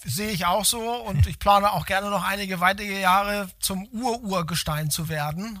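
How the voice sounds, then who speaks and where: Raising and projecting his voice, a man speaks at a high pitch with ordinary pitch variation. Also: fairly quick pace. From Hamburg, northern Germany. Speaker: logistics company executive. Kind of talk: interview. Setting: in-person meeting at company site. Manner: hesitant, many fillers.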